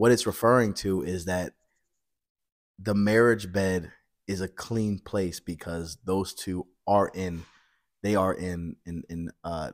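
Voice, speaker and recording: A man with a very deep, low pitch speaks very slowly, with long, frequent pauses. His intonation stays fairly even against a quiet background. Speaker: podcast guest. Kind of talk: interview answer. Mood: relaxed, occasional laughter. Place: hall.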